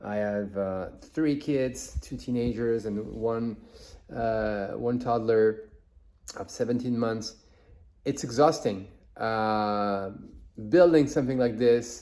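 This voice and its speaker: A man's dark, mellow tone at a very slow pace, with long, frequent pauses. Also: medium pitch for a man, ordinary pitch variation. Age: 40s. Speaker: podcaster and content creator. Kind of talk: casual vlog monologue. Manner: halting, many fillers and restarts; mumbling.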